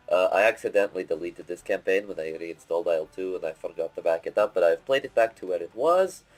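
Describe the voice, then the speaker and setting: Music plays behind a man whose voice has a dry, close sound with no echo. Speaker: gaming let's play commentator. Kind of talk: game commentary reading mission briefing aloud.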